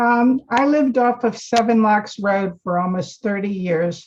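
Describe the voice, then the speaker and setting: The delivery is fairly slow and somewhat breathy. Pitch varies in an ordinary way. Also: woman. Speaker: cookbook author and lecturer. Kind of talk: lecture.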